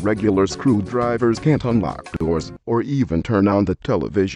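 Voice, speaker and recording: With music in the background, a man with a fairly low pitch speaks at a moderate pace, his intonation lively and his loudness very even. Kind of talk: TV commercial read.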